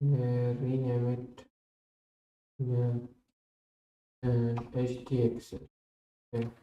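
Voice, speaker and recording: Long, frequent pauses break up very slow speech. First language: not English. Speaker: coding streamer. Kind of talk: live coding stream. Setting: live stream. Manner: halting.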